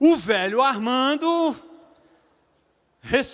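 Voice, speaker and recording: The man's voice is extremely high-pitched, with lively intonation. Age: 70s. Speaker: pastor. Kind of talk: sermon.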